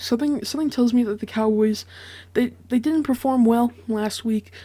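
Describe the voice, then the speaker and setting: A quiet woman's voice, high in pitch, with lively intonation. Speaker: sports prediction youtuber. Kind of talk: solo commentary monologue. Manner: hesitant, many fillers.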